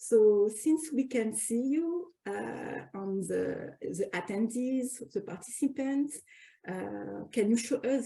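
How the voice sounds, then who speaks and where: This woman speaks with a French accent. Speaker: academic researcher and special issue co-editor. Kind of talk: webinar introduction. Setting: online webinar. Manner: halting, many fillers and restarts.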